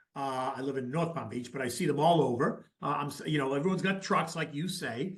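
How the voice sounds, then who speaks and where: In a plain, everyday voice, a man talks fairly quickly at a fairly high pitch with ordinary pitch variation. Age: 60s. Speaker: market analyst, interviewer. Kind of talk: interview. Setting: video interview.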